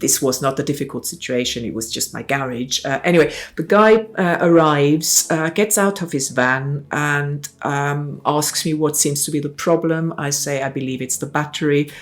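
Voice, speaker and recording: A woman speaks with a German accent at a moderate pace, her pitch very deep and low. She hardly pauses at all. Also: ordinary pitch variation. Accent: German-speaking foreign. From South Tyrol, northern Italy (German-speaking). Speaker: essay contributor recounting migration. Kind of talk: personal testimony. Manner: halting, many fillers and self-corrections.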